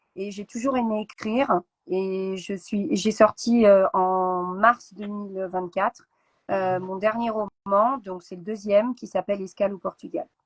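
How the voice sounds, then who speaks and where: At a very slow pace, a woman with a medium pitch speaks with big swings in loudness in a dry, close sound with no echo. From France, Seine-et-Marne. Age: 40s. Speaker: author and teacher. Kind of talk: interview. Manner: hesitant, many fillers; energetic.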